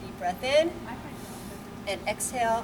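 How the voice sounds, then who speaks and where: A woman talks at a fairly slow pace and fairly high pitch. Audible room echo and noticeable background noise surround her voice. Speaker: fitness instructor. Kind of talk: exercise class instruction. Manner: loud. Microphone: no microphone, may be too quiet.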